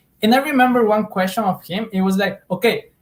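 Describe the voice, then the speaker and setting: Speaking with a Spanish accent, a man shows ordinary pitch variation. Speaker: Spanish teacher. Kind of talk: casual interview chat. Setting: live stream. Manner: halting, many fillers and repetitions.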